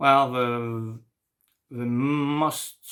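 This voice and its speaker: A man with a French accent talks with fairly even intonation. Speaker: French teacher. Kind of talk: tutorial. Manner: halting.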